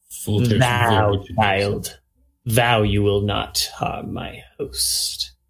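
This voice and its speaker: Putting on a character voice, a man speaks at a very slow pace with a fairly low pitch. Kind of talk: archaic, formal.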